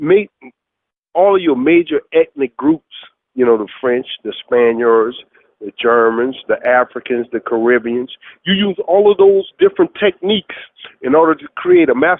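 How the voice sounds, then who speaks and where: A man with a New Orleans accent talks at a moderate pace. His fairly high voice makes very wide pitch swings. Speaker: chef. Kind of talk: interview answer.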